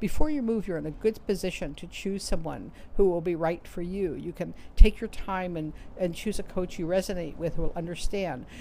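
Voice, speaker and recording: A woman with a New York accent, a dark, mellow tone, fairly low pitch, ordinary pitch variation, big swings in loudness and a fairly quick pace. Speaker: author and career coach. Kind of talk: advice talk to camera. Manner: fast.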